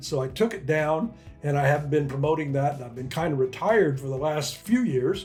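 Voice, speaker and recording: Music plays in the background, and room echo is audible. A man speaks at a fairly high pitch with ordinary pitch variation. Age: 80s+. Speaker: retired entrepreneur, online income coach. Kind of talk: casual talk to camera. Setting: coffee shop. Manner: conversational, with fillers and repeats.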